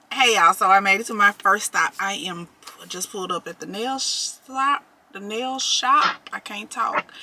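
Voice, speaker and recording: A woman speaks at a moderate pace with ordinary pitch variation and big swings in loudness over noticeable background noise. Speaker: vlogger. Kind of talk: casual vlog chat. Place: car. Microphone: phone near.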